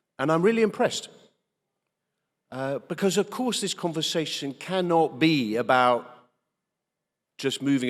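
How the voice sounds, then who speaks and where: Speaking with a British accent, a man keeps a moderate pace and lively intonation. The recording is very clean, with a silent background. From England. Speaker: politician. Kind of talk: keynote speech. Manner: hesitant, many fillers.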